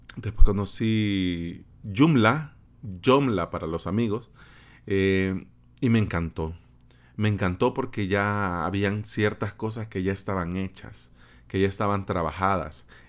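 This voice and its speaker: With a Salvadoran accent, a man speaks very slowly in a fairly low pitch, his pitch varying in an ordinary way while his loudness swings widely. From El Salvador, San Salvador. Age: 30s. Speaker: podcast host, web developer. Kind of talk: solo podcast monologue. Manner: casual, conversational with fillers.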